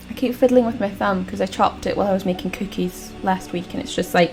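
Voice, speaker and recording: At a fairly quick pace, a female speaker talks over music in the background. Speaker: gaming let's play creator. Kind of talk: casual gameplay commentary. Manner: loud.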